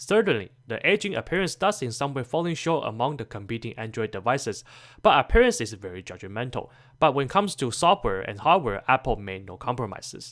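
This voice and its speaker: On a very clean recording with a silent background, a man of medium pitch speaks at a fairly quick pace with very wide pitch swings and big swings in loudness. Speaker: tech reviewer. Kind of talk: scripted narration. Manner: fast.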